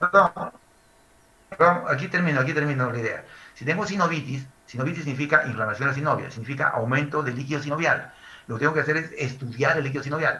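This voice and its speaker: A man with a fairly high pitch speaks at a very fast pace with audible room echo. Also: ordinary pitch variation. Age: 60s. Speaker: medical lecturer. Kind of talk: lecture.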